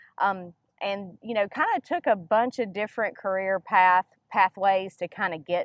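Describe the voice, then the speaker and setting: Moderate pace and ordinary pitch variation, with a Mississippi accent. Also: woman. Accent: Southern US (Mississippi). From US South, northern Mississippi. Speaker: nonprofit education director. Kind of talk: interview.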